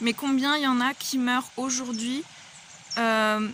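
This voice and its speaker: A woman speaks at a high pitch. Noticeable noise sits in the background. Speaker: vlogger. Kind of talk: personal vlog monologue. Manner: hesitant, many fillers.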